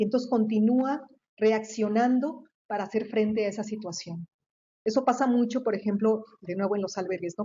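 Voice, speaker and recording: Somewhat breathy, a woman speaks at a fairly quick pace and fairly high pitch with ordinary pitch variation. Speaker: researcher and professor. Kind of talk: lecture. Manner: fast; halting, many repetitions.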